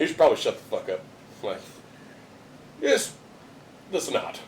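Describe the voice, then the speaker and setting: A man is speaking. Music plays in the background. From rural area. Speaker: podcast host. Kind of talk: casual chat. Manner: animated storytelling.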